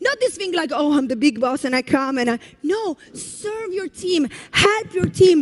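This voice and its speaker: In an Italian accent, a woman speaks at a moderate pace with lively intonation and an animated tone. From Italy. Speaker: network marketing leader. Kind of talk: motivational speech. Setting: stage with audience.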